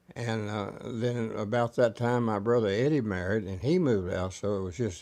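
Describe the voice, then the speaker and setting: With a dark, mellow tone and fairly low pitch, a man speaks at a moderate pace with ordinary pitch variation over a quiet background. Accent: Texas. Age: 80s+. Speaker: storyteller. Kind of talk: oral history. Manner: halting.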